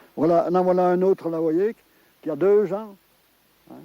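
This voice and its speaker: At a fairly quick pace, a man with a high pitch and a dark, mellow tone talks with fairly even intonation, the sound dry and close with no echo. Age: 80s+. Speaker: forester. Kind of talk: interview.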